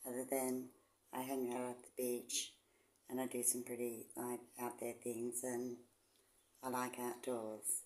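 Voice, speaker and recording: A woman with an Australian accent speaks at a moderate pace in a very deep, low pitch with a dark, mellow tone. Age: 60s. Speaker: vlogger, semi-retired nurse. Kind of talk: casual vlog talk. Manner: casual, hesitant with ums.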